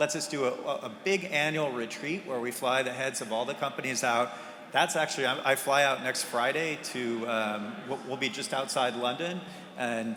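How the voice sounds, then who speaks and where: In an American accent, a man talks at a medium pitch and moderate pace with ordinary pitch variation, amid audible room echo and noticeable background noise. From US Pacific Northwest (Bellevue, Washington). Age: 60s. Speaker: game industry investor. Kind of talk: conference fireside chat.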